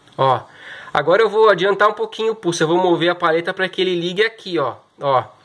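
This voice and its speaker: A high-pitched man at a fairly quick pace, with ordinary pitch variation over a quiet background. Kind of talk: tutorial. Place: workshop. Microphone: phone near.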